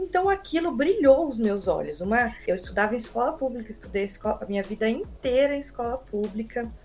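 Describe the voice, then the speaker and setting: A woman speaks at a fairly quick pace with hardly any pauses. Her pitch swings very widely. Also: fairly high pitch for a woman. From Brazil, São Paulo state (Americana). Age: 20s. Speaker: nurse. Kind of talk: casual interview.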